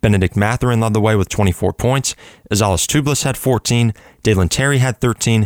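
Energetic and upbeat, a man with a fairly low pitch and ordinary pitch variation talks at a fairly quick pace in a very clean recording with a silent background and a dry, close sound with no echo. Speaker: college radio sports host. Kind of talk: sports scores newsreading. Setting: radio studio. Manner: rapid-fire, brisk and steady delivery of scores and stats; energetic, upbeat broadcaster tone.

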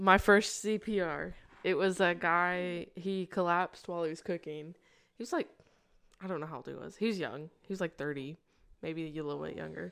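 The recording is very clean, with a silent background. A woman with a plain, everyday voice speaks at a moderate pace, her pitch fairly low with ordinary variation. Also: big swings in loudness. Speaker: podcast co-host, EMT. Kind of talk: casual chat.

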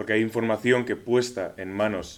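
Intonation is monotone and flat, and the speech keeps a moderate pace. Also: man. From Spain, Pamplona. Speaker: university student, debater. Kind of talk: debate.

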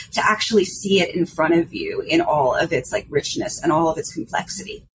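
In a New York accent, a woman at a medium pitch speaks at a moderate pace with very wide pitch swings over noticeable background noise. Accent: New York American English. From New York City. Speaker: artist and journalist. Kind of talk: casual chat.

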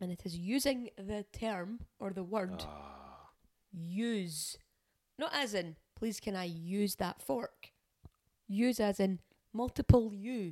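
Speaking very slowly with an Edinburgh accent, a woman uses a medium pitch, ordinary pitch variation, and a dark, mellow tone, with big swings in loudness. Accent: Scottish, Edinburgh area. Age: 30s. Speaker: podcast co-host. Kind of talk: casual chat.

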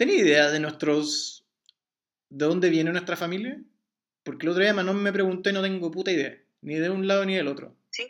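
A man's high-pitched voice in a Chilean accent, with ordinary pitch variation. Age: 20s. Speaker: podcast host interviewing his mother. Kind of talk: casual family interview.

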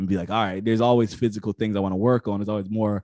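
A man with an American accent speaks at a fairly low pitch in a dark, mellow tone. His intonation is fairly even, and the sound is dry and close with no echo. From US Northeast (Connecticut). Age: 20s. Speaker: author and higher education professional. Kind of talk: interview.

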